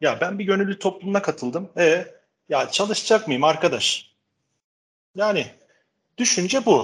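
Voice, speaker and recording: Pausing long and often, a man speaks with a high pitch and ordinary pitch variation. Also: fairly slow pace. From Turkey, Istanbul. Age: 40s. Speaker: educational technology specialist. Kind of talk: casual interview. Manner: frequent hesitation fillers.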